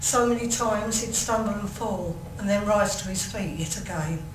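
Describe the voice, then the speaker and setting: Amid noticeable background noise and audible room echo, a woman with an English accent speaks at a fairly high pitch and a moderate pace. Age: 60s. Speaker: mental health carer and consultant. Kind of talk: reading aloud; testimony. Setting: commission hearing session.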